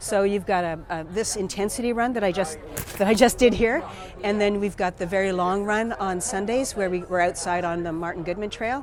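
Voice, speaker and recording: A woman at medium pitch and moderate pace, ordinary pitch variation, with noticeable background noise. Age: 60s. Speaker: artist and amateur marathon runner. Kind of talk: casual interview. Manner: halting, with many fillers and repetitions.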